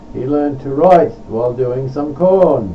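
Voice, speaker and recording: Very slow speech from a man with lively intonation, over noticeable background noise. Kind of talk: poetry reading.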